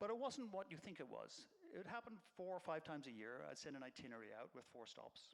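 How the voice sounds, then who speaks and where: A man's high voice with very wide pitch swings and an Irish accent, at a very fast pace. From Ireland. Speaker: nonprofit executive director. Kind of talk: public talk.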